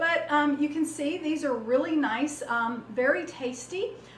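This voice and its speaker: Very slow speech from a woman with a high pitch and a Southern US accent, ordinary pitch variation, and audible room echo. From US South. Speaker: cooking channel host. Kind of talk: cooking tutorial. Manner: casual, many fillers.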